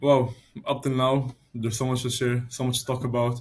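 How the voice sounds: A man's medium-pitched, slightly mellow voice with little pitch movement, at a moderate pace.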